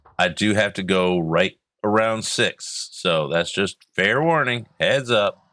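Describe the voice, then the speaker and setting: He's a man with an American accent. His pitch is fairly low, and he talks very slowly. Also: lively intonation, very clean recording, silent background. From US South. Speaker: game streamer. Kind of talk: live gameplay commentary. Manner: casual, rambling.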